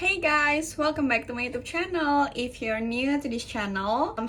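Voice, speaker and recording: A woman speaks at a fairly slow pace with ordinary pitch variation. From Indonesia. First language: Indonesian. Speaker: YouTuber, student. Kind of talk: casual vlog talk to camera.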